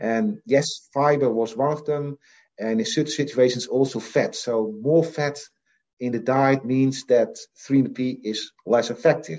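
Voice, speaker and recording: A man with a Dutch accent, medium pitch, ordinary pitch variation and a fairly slow pace. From Netherlands (Assen, Drenthe; Frisian family). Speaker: professor of animal nutrition. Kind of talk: interview.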